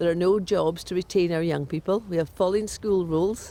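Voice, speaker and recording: The speaker talks at a moderate pace with a Scottish Highland accent. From Scotland, Sutherland. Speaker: crofting estate board chair and teacher. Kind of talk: interview.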